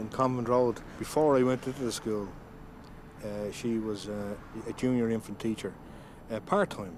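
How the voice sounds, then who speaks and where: In a Dublin accent, a man speaks at medium pitch and moderate pace with ordinary pitch variation. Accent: Dublin Irish. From Ireland, Dún Laoghaire, County Dublin. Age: 50s. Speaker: adult literacy learner. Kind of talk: documentary interview. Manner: halting, repeats words.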